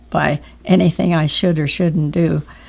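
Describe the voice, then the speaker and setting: In an American accent, a woman with a fairly low pitch, a dark, mellow tone and vocal fry speaks at a fairly slow pace with ordinary pitch variation. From Oregon, USA. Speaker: war veteran. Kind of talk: interview answer.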